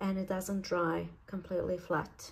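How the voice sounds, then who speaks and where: Somewhat breathy, a woman's voice has a dark, mellow tone and medium pitch at a moderate pace. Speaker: craft youtuber. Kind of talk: tutorial. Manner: casual, chatty.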